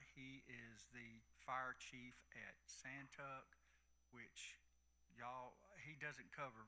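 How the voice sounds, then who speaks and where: A bright, sharp tone with vocal fry in a Southern US accent, ordinary pitch variation, big swings in loudness, long, frequent pauses and audible room echo. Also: man. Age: 60s. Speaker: county commissioner. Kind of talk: town hall talk. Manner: halting.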